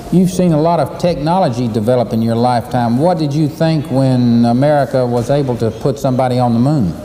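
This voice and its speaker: A man talks at a fairly quick pace with hardly any pauses and very even loudness. Noticeable background noise sits behind him. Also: medium pitch for a man, ordinary pitch variation. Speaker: TV interviewer, university host. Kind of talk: TV interview host.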